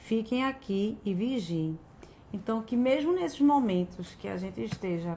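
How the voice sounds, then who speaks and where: A woman's lively intonation rises and falls at a fairly slow pace in a somewhat breathy voice. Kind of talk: devotional talk. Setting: live stream. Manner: speaks as if tongue-tied.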